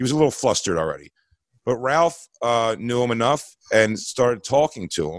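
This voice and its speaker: An ordinary speaking voice from a man, medium in pitch, fairly quick and lively in intonation, on a very clean recording with a silent background. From Philadelphia. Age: 40s. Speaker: comedian. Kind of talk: storytelling.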